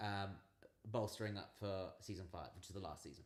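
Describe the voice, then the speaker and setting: With audible room echo around it, the talking runs fairly fast. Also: man. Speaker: channel co-host. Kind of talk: casual livestream Q&A chat. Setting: livestream. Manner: loud.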